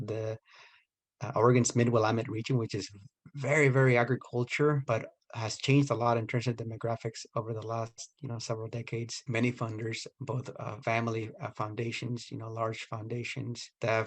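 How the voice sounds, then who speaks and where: The voice is somewhat breathy and moves at a fairly quick pace. Its intonation stays monotone and flat. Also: man. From Mexico, Michoacan. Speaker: nonprofit leader. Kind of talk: recorded interview.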